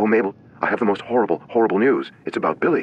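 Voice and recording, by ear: In a put-on character voice, a man speaks very fast at a medium pitch, sounding shaky.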